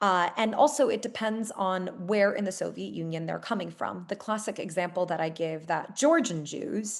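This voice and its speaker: A woman of medium pitch speaks with vocal fry and ordinary pitch variation, barely pausing. The background is quiet. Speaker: historian giving a webinar talk. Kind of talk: Q&A answers in a webinar. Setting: video call webinar. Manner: fast.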